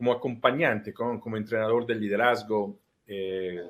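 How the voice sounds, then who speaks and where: A man with an Italian accent, medium pitch and fairly even intonation. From Italy. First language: Italian (speaking Spanish). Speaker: life coach. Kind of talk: interview. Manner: halting.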